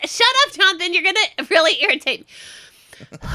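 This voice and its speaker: Over noticeable background noise, a woman speaks in a raised, projected voice at an extremely high pitch with very wide pitch swings and a moderate pace. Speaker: podcast co-host.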